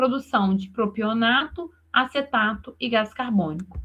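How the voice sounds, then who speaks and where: Her pitch shows ordinary variation. This woman speaks at a fairly slow pace. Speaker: university lecturer. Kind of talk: online lecture.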